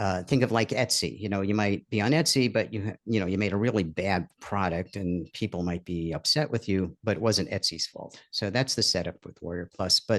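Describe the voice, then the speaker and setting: A man with a New York accent at a fairly quick pace, fairly low in pitch with ordinary pitch variation and hardly any pauses, in a dry, close sound with no echo over a quiet background. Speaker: online course creator. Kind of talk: live webinar.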